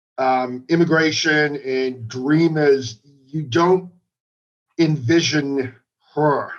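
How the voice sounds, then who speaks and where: This man has a Boston accent. His pitch sits fairly high. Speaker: magazine writer. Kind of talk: casual interview chat. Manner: halting with fillers.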